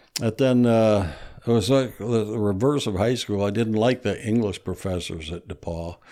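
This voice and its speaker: With a Midwestern American accent, a man speaks at a moderate pace and a fairly low pitch. His tone is dark and mellow, with ordinary pitch variation. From US Midwest. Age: 60s. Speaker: retired history professor and author. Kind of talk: casual interview.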